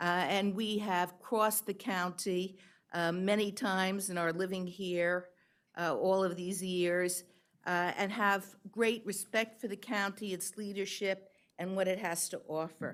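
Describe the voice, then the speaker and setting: A woman's medium-pitched voice in a New York accent, fairly slow and monotone with flat intonation, on a very clean recording with a silent background. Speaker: public commenter. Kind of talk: public testimony.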